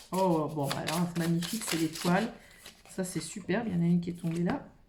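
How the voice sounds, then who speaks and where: Over noticeable background noise and audible room echo, the speaker talks at a fairly quick pace with ordinary pitch variation. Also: woman, fairly low pitch for a woman. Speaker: tarot card reader. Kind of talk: improvised card reading. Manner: halting.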